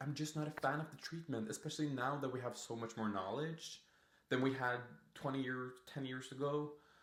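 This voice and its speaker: Talking at a moderate pace and medium pitch, a man with a non-native accent uses an animated tone. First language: not English. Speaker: permanent makeup artist and podcast host. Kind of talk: casual podcast monologue. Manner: halting.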